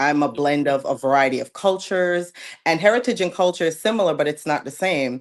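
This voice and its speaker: Lively intonation marks this voice with an American accent, set against a quiet background. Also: woman. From Jamaica, then New York. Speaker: podcast guest. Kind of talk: interview. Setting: live podcast.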